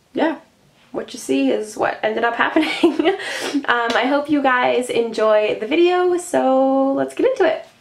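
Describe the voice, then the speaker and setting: With noticeable background noise, a woman talks fairly slowly in a high pitch and lively intonation. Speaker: beauty vlogger. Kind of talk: makeup review and tutorial. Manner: casual, many filler ums.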